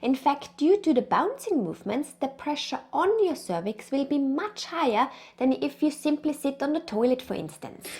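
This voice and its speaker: A woman with an Austrian accent talks in a high pitch with lively intonation and hardly any pauses. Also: moderate pace. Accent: Austrian, noticeable. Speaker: pregnancy and birth consultant. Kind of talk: educational tutorial.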